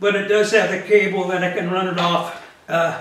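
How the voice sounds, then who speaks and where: A man at a high pitch and moderate pace, with audible room echo. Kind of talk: casual vlog chat. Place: home room.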